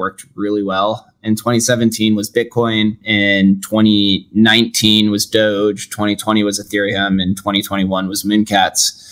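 Speaking with an American accent, a man uses monotone, flat intonation at a fairly low pitch. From Las Vegas, Nevada. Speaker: podcaster and entrepreneur. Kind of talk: interview.

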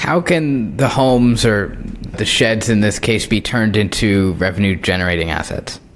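The intonation is lively and the pace moderate. Noticeable background noise can be heard. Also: man, fairly low pitch for a man. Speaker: podcast host. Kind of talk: interview.

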